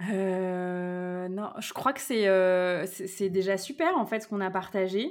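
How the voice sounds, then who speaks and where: At a very slow pace and with hardly any pauses, a woman speaks at a medium pitch with fairly even intonation. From Brittany, France. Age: 30s. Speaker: wellness business coach. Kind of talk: casual interview conversation.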